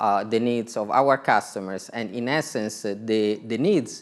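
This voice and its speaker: A man with an Italian accent, medium pitch, and ordinary pitch variation. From Italy. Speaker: telecom executive. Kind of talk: conference talk.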